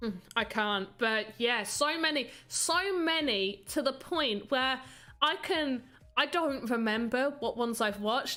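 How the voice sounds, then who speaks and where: A woman with a high, bright, sharp voice speaks at a fairly slow pace with lively intonation and very even loudness. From UK. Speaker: streamer, voxel artist. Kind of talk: casual live stream chat. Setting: live stream.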